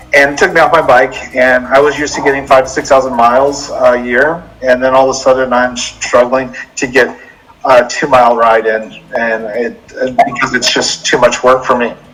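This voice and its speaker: A man of medium pitch talks with an American accent in a monotone, flat intonation. Noticeable background noise runs underneath. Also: moderate pace. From Mississippi, US South. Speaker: cyclist and middle school teacher. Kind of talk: interview.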